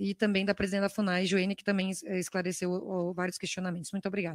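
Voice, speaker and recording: A woman's voice comes through dry, with no echo, against a quiet background. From Brazil. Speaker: congresswoman; legislator questioning a minister. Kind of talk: parliamentary questioning. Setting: parliamentary committee room. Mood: firm, critical. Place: hall. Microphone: podium.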